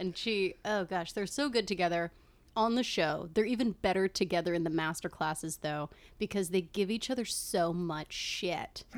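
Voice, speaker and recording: A woman with an American accent at a moderate pace, with ordinary pitch variation, on a very clean recording with a silent background. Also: medium pitch for a woman. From Connecticut. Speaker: memoir writer. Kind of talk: casual chat.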